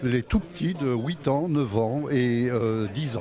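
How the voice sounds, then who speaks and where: A man speaks at a very slow pace with ordinary pitch variation. Noticeable background noise runs underneath. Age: 60s. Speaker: youth football referee. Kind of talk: interview. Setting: club year-end staff party.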